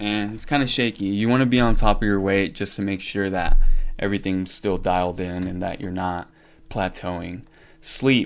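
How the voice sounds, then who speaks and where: The recording is very clean, with a silent background. A man with an unremarkable speaking voice talks at a moderate pace and fairly low pitch, his intonation fairly even. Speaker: fitness content creator. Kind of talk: casual vlog ranking. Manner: casual with fillers.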